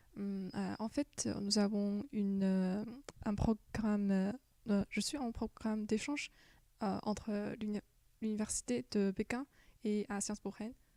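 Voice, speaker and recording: A woman with a Chinese accent speaks at a fairly slow pace in a dark, mellow tone of medium pitch, her intonation fairly even, with long, frequent pauses and a dry, close sound with no echo. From China. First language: Chinese (speaking French). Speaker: exchange student. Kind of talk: interview. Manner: halting, many hesitations.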